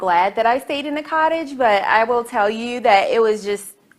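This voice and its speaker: A woman with an American accent speaks at a moderate pace in an unremarkable speaking voice. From US South, Charlotte, North Carolina. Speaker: talk show host. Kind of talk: casual monologue to camera.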